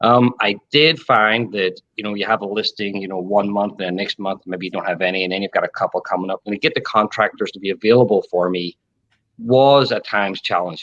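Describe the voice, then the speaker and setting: In an Irish accent, a man with a fairly low pitch talks at a fairly quick pace with ordinary pitch variation, the sound dry and close with no echo against a quiet background. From Ireland. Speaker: contractor business owner and real estate agent. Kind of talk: interview.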